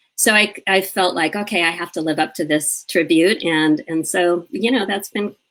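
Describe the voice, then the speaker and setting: A woman with a normal speaking voice, fairly low in pitch, at a fairly slow pace with ordinary pitch variation. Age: 60s. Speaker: grief and living-fully advocate. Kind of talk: interview conversation.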